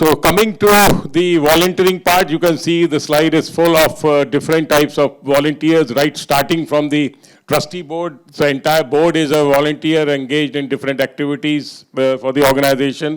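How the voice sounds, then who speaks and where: A man's normal speaking voice, fairly high in pitch, at a moderate pace with hardly any pauses and fairly even intonation. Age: 60s. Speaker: NGO volunteer, panelist. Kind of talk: conference panel talk.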